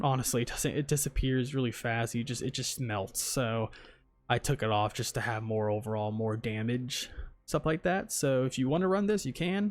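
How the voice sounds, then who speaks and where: The recording is very clean, with a silent background. A man speaks at a medium pitch with lively intonation. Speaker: gaming YouTuber. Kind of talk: game tutorial. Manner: fast; casual, filler-heavy.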